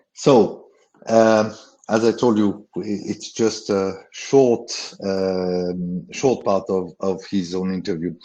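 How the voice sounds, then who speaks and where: With a French accent, a man talks very slowly in a fairly low, dark and mellow voice, his intonation fairly even against a quiet background. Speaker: travel company founder and CEO. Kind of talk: webinar presentation. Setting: online webinar. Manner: halting, many fillers.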